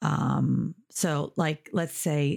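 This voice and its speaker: A woman's very deep, low voice with vocal fry and an American accent, in a dry, close sound with no echo. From United States. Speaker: English teacher. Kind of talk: language lesson with news reading; reading aloud.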